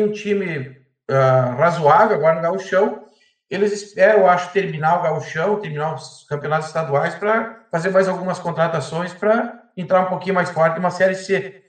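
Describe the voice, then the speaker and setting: A man speaks with a high pitch and ordinary pitch variation. The room echo is audible. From Erechim, Rio Grande do Sul, Brazil. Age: 40s. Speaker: baker and football fan. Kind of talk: casual chat.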